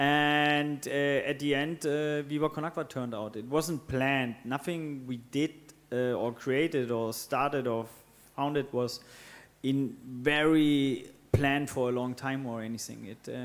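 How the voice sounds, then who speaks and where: This man has a German accent and a fairly high pitch. He speaks at a fairly slow pace with fairly even intonation. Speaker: co-founder of water charity. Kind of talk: panel discussion. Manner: hesitant, many fillers.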